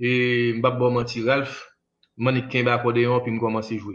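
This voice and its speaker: This is a man speaking at a medium pitch. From Haiti. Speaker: musician; interview guest. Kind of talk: interview. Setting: remote interview over internet. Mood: reminiscing calmly. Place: home room. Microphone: choppy internet connection; video call.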